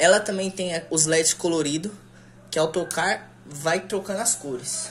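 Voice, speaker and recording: A woman with a plain, everyday voice, fairly low pitch, ordinary pitch variation and a moderate pace, over light background noise. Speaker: product demonstrator. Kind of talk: casual product unboxing tutorial. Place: home room. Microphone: phone near.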